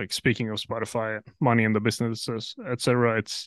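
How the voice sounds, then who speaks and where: A man with a Norwegian accent at a fairly quick pace, dry and close with no echo, quiet background. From Norway. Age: 20s. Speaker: metalcore band vocalist. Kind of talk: casual interview chat.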